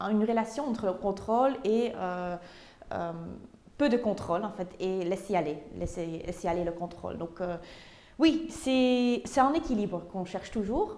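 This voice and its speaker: Speaking fairly slowly in a Flemish accent, a woman has a medium pitch, a dark, mellow tone and lively intonation. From Flanders, Belgium (Tienen). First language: Dutch (speaking French). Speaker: painter. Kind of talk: interview. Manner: halting, many hesitations.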